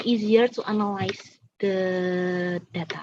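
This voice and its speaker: With an Indonesian accent, a woman speaks at a fairly slow pace and keeps her intonation fairly even. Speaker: student presenter. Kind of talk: Q&A answers at academic seminar. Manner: halting.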